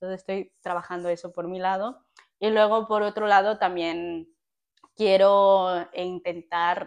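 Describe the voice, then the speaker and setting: At a fairly slow pace, a woman speaks in a monotone, flat intonation. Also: medium pitch for a woman. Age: 20s. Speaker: podcast co-host. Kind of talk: casual chat.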